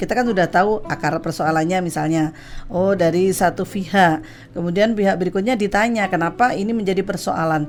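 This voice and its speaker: This woman has an ordinary speaking voice at a medium pitch. Her pitch varies in an ordinary way. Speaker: Islamic religious counselor and talk show guest. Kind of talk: radio talk show explanation on family problem solving.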